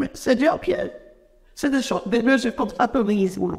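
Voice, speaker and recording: Set against a quiet background, a man talks at an extremely high pitch with ordinary pitch variation. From Benin. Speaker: teachers' union leader. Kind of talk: TV interview. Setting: TV studio. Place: studio. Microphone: lapel.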